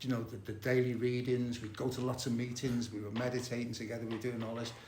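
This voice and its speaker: A man talks at a very fast pace, with audible echo from the room. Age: 70s. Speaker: recovering addict and therapist. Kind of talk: recovery meeting share. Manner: halting, many fillers and repetitions.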